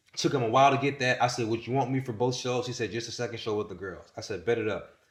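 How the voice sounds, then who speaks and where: Pitch varies in an ordinary way. The voice is somewhat breathy. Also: man. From US South, Winston-Salem, North Carolina. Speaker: content creator, podcast guest. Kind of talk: casual interview storytelling. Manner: animated.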